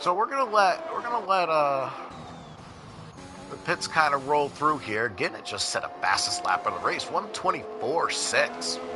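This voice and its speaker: Against music in the background, a man with an American accent talks at a moderate pace. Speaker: esports race commentator. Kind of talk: live commentary. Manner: casual, halting with fillers.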